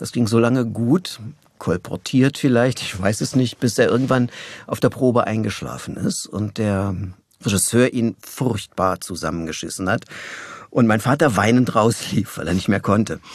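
A normal speaking voice from a man, medium in pitch, moderately paced, with ordinary pitch variation. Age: 60s. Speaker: voice actor. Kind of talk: interview. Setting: studio.

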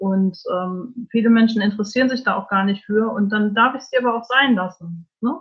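A woman's somewhat breathy voice comes at a moderate pace. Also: fairly high pitch for a woman, ordinary pitch variation. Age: 40s. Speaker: life coach. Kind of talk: interview. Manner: hesitant, many fillers.

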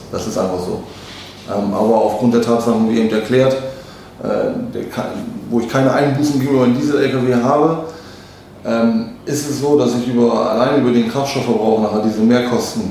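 Over noticeable background noise and audible room echo, a man with a medium-pitched voice talks at a fairly quick pace, broken by long, frequent pauses. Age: 30s. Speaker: truck sales manager. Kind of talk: interview.

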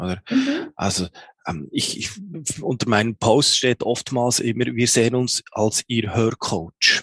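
A man speaks very slowly with lively intonation, and the sound is dry and close with no echo. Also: medium pitch for a man. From Switzerland, Bern. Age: 40s. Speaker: hearing aid acoustician, business owner. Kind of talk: interview. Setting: video call. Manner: halting, many fillers.

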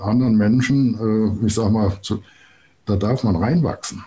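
With a fairly low pitch and ordinary pitch variation, the man talks at a fairly slow pace. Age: 60s. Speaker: planetary code consultant. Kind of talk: interview.

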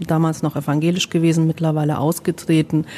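The woman speaking has a fairly low voice. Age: 40s. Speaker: social worker. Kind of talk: casual interview. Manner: hesitant, many fillers.

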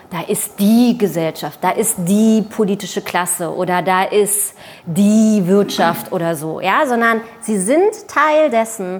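This woman speaks at a very slow pace with a medium pitch. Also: ordinary pitch variation. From East Berlin, Germany. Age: 30s. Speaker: journalist and author. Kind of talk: panel discussion. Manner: hesitant, many fillers.

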